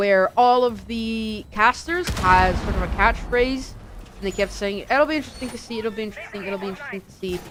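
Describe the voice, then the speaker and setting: A woman with a non-native accent, animated in tone, at a fairly quick pace, with ordinary pitch variation, big swings in loudness and noticeable background noise. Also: fairly high pitch for a woman. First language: not English. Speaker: esports caster. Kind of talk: live commentary.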